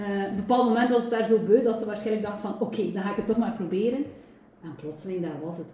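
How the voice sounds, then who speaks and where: A woman talks at a fairly quick pace and a medium pitch, with ordinary pitch variation. Room echo is audible, along with noticeable background noise. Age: 40s. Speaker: personal trainer and nutrition coach. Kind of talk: interview.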